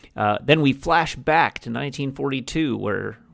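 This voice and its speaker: A man with an unremarkable speaking voice keeps a moderate pace and ordinary pitch variation. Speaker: podcast co-host. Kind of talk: casual chat.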